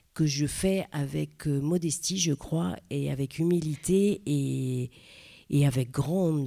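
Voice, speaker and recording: A woman with a Parisian accent, her very deep, low voice dark and mellow, lively in intonation, on a very clean recording with a silent background. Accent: Parisian (titi parisien). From Paris, 20th arrondissement. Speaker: theatre director. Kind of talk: panel talk. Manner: halting, many hesitations.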